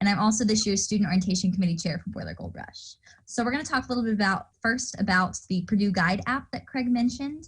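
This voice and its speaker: A woman's somewhat breathy, medium-pitched voice at a very fast pace, with ordinary pitch variation and a quiet background. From Indiana, US Midwest. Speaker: student orientation leader. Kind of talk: online orientation presentation.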